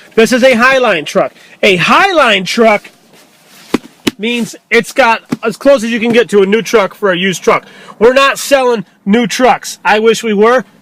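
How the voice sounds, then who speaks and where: With noticeable background noise behind him, a man speaks in an extremely high pitch, an animated tone and ordinary pitch variation at a moderate pace. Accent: American. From New York. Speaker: used truck dealer. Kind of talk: sales pitch.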